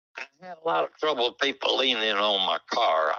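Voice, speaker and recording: Dry and close with no echo, the recording captures a man with a Southern US accent speaking at a moderate pace. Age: 90s. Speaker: retired drag racer. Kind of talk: casual interview. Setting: phone call.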